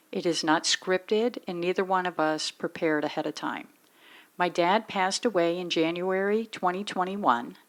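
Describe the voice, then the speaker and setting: A woman's normal speaking voice, at a moderate pace and medium pitch, with ordinary pitch variation. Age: 50s. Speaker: daughter interviewing her father. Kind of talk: casual family interview.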